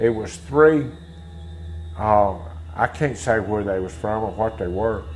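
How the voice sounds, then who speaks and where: Over music in the background, the speaker talks at a moderate pace with lively intonation and a Mississippi accent. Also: man. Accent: Mississippi Southern US. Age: 60s. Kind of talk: interview testimony.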